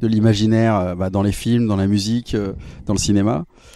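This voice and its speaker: A man talks at a moderate pace in a dark, mellow tone. His fairly low pitch stays fairly even in intonation. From southeastern France (Drôme, Romans-sur-Isère). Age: 40s. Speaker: musician. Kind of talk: interview. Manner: hesitant, many fillers.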